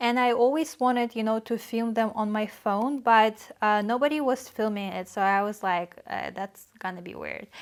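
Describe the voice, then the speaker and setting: A woman with a Russian accent at a fairly high pitch, ordinary pitch variation, moderate pace and hardly any pauses, on a very clean recording with a silent background. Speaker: vlogger. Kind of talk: casual talk to camera. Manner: hesitant, many fillers.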